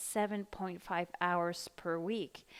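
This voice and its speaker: A woman talks with a slight American accent and ordinary pitch variation. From Mexico. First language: Spanish. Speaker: online ESL teacher. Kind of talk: tutorial. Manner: hesitant, many fillers.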